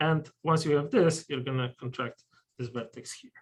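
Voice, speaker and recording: Somewhat breathy, a man with a strong Polish accent talks at a fairly high pitch with ordinary pitch variation. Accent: thick Polish. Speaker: mathematician giving a colloquium talk. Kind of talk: lecture. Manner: hesitant, many fillers.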